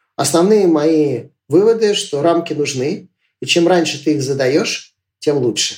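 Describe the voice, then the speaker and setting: This is an ordinary speaking voice from a man with a fairly high pitch. He talks at a fairly slow pace with ordinary pitch variation. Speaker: entrepreneur and school teacher. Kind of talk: casual interview.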